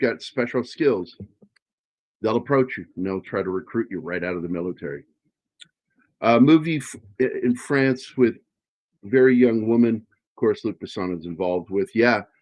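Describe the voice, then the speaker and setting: Speaking with an American accent at a fairly quick pace, a man uses lively intonation and big swings in loudness. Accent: Virginia accent, stronger when tired. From Virginia, US. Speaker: podcast co-host and writer. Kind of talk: casual chat.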